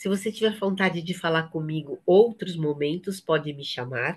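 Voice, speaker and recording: This woman's voice sits fairly low. It is also somewhat breathy. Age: 60s. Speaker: trainer for a women's support network. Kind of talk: training session.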